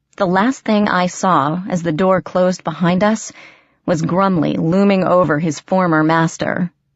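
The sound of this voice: The speaking here is an unforced reading voice. That voice stays the same from start to finish.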